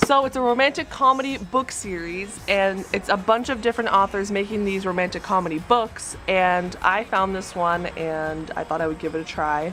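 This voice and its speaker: With hardly any pauses, a woman talks at a moderate pace in a bubbly tone and medium pitch over noticeable background noise. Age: 20s. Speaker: book vlogger. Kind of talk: casual vlog talk. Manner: halting, stuttering.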